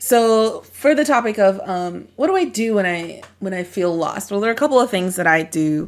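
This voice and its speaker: A woman speaks at a moderate pace with hardly any pauses, her medium-pitched voice carrying lively intonation. Hers is a normal speaking voice. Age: young. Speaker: podcast co-host. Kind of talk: casual conversation.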